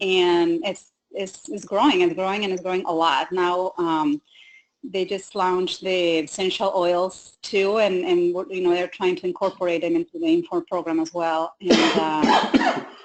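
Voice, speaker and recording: Speaking at a fairly slow pace, a woman with a Spanish accent uses a medium pitch and ordinary pitch variation. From Mexico. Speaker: health coach. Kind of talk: webinar panel discussion.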